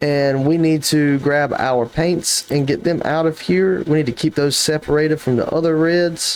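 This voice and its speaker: Speaking with a South Carolina accent at a moderate pace and with hardly any pauses, a man keeps his loudness very even, his pitch fairly high and his pitch variation ordinary. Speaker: gaming YouTuber. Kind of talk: casual gameplay commentary. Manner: casual, thinking aloud.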